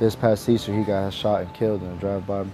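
With music in the background, a man with a fairly low pitch speaks at a fairly quick pace in a dry sound with no echo. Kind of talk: interview answer. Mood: reflective, earnest.

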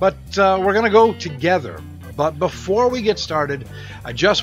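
Clear music plays in the background. A man speaks with a dry sound with no echo. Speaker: channel host. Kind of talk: casual vlog chat. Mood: relaxed, friendly. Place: home room. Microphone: studio mic.

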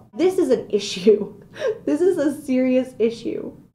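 A woman speaks in a high voice with an animated, dramatic tone and very wide pitch swings. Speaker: video blogger ranting comedic. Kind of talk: comedic rant, vlog-style casual monologue. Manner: animated, exaggerated, mock-dramatic; sarcastic, playful, self-joking. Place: office. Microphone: webcam.

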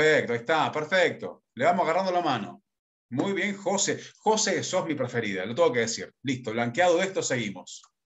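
A fairly high-pitched man with vocal fry and very wide pitch swings, quiet background. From Argentina, Córdoba and Buenos Aires; Argentina. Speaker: leadership consultant and workshop facilitator; workshop facilitator. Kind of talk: workshop lecture. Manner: fast. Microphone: video call.

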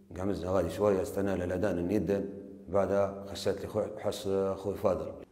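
A man speaks at a moderate pace in a fairly low pitch, his intonation monotone and flat. The background is quiet, though room echo is audible. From Libya. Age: 30s. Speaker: confessing suspect. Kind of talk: recorded confession. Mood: subdued, flat narration. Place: office. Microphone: lapel.

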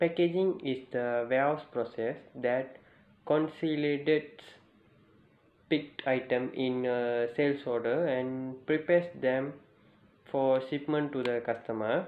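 At a fairly slow pace, a man speaks with a medium pitch and ordinary pitch variation, and audible room echo surrounds him.

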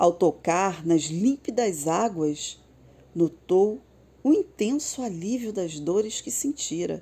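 In a Brazilian accent, the speaker's tone is gentle and warm yet dark and mellow, with very wide pitch swings. The pace is very slow, and the recording is very clean with a silent background. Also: woman, medium pitch for a woman. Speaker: storyteller narrator. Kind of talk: bedtime story narration, read aloud. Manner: soft, slow and soothing; gentle, lilting and dreamy, with warm storybook expression.

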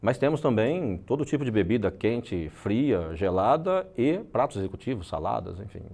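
A man talks at a moderate pace in a fairly low pitch, his dark, mellow tone rising and falling in very wide swings with hardly any pauses. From Brazil, interior of São Paulo state. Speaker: franchise owner. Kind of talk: interview. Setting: TV studio. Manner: halting, many repeated words. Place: studio. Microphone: lapel.

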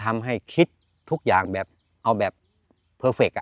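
A man's medium-pitched voice, bright and sharp in tone, with a dry, close sound and no echo. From eastern Thailand, Chanthaburi. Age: 60s. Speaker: farmer. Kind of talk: interview.

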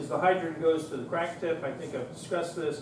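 Audible room echo colors the recording, along with noticeable background noise. A man is the one talking. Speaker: instructor. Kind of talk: lecture. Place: classroom.

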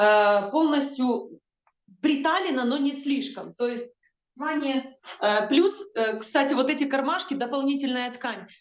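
A woman with a high voice talks very slowly with lively intonation, and the room echo is audible. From Ukraine. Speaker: combat medic. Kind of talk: news report interview. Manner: halting, with filler sounds. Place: home room. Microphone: video call.

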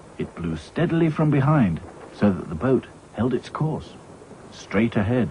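Simple, plain reading of text aloud

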